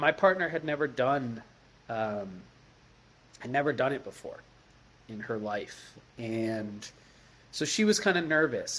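Fairly slow pace from a male speaker. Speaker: storyteller. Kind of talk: personal story, interview answer. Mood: reflective, calm. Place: home room. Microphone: webcam.

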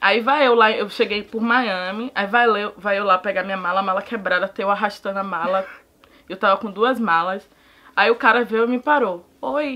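Bright and sharp in tone, a woman speaks in an animated way with ordinary pitch variation. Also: moderate pace. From Salvador, Bahia, Brazil; Bahia, Brazil. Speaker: immigrant interviewee; interviewee. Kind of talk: casual chat. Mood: animated, humorous. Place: home room.

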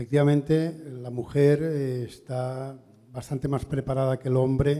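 Somewhat breathy speech with a dark, mellow tone, fairly even intonation and a fairly slow pace. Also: man. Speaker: audience member. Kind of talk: audience question at seminar. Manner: halting. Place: hall. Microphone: handheld.

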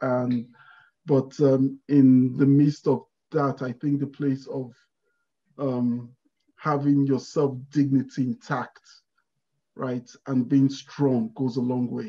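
A man speaks at a very slow pace in a dark, mellow tone, his intonation monotone and flat, with long, frequent pauses. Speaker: spatial data analyst. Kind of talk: interview. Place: home room. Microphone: video call.

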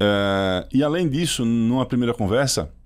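A man talks with a slight Pernambuco accent. The background is quiet. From Brazil, Pernambuco sertão. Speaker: startup CEO; podcast guest. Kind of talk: interview. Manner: calm. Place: studio. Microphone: studio mic.

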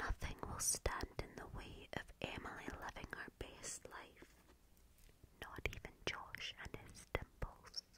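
Someone whispers very slowly in a Scottish accent. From Scotland. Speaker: ASMR creator. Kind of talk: ASMR whisper video. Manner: whispered. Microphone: studio mic.

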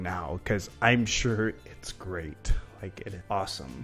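Faint music plays in the background while a man speaks slowly-ish, at a fairly slow pace and fairly low pitch. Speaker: small content creator. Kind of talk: casual vlog chat. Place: home room. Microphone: handheld.

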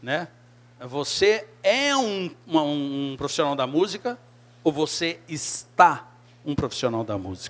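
A man at a very slow pace, fairly high in pitch, with very wide pitch swings. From Brazil, Belo Horizonte (Minas Gerais); Minas Gerais, Brazil. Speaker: keyboardist in a rock band; guest. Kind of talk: career talk to a group of young musicians. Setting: room with a small audience of artists. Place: bar. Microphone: handheld.

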